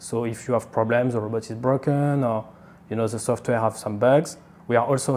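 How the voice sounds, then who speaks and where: A man speaks with a French accent at a moderate pace. His intonation is fairly even. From France. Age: 20s. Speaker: engineer, company COO. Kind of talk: interview answer.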